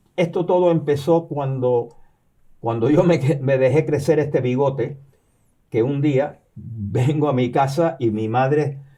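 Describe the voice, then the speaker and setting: The voice has a dark, mellow tone, somewhat breathy, with ordinary pitch variation and a fairly slow pace. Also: man. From Cuba, raised there after birth in New York. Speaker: retired professor and novelist. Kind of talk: interview. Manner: halting, many repetitions and fillers.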